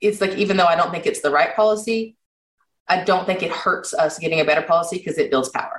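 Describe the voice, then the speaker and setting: With a Kentucky Appalachian accent, a woman of medium pitch speaks very fast with ordinary pitch variation. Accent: Kentucky Appalachian American. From Eastern Kentucky. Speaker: health policy advocate. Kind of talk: podcast interview.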